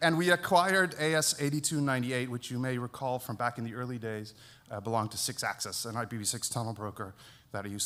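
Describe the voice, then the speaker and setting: A man with an American accent, very fast pace, very wide pitch swings and a bright, sharp tone, in a very clean recording with a silent background. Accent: sounds American. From Netherlands. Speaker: network engineer, conference speaker. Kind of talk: conference talk. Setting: stage with audience, live streamed.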